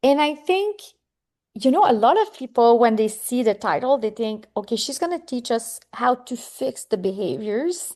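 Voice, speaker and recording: In a French Canadian accent, a woman speaks at a moderate pace with a high pitch, a dark, mellow tone and very wide pitch swings. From Quebec. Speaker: psychotherapist and author. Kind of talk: interview.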